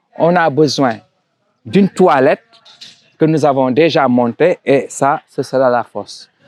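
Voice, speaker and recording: A man with an Italian accent speaks at a fairly high pitch with ordinary pitch variation. Long, frequent pauses break up his words, and the sound is dry and close with no echo. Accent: French affected by Italian habits. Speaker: construction site manager. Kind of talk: site tour presentation. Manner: hesitant, with restarts.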